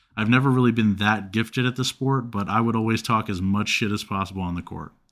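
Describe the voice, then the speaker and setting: A man's medium-pitched voice with a bright, sharp tone, ordinary pitch variation and a fairly quick pace, on a very clean recording against a silent background. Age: 20s. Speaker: sports podcast co-host. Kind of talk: casual sports chat.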